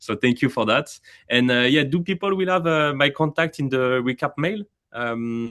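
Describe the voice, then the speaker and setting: A man's fairly high voice with a French accent at a moderate pace, dry and close with no echo, over a quiet background. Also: ordinary pitch variation. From France. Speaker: AI company representative. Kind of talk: webinar Q&A. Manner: hesitant, many fillers.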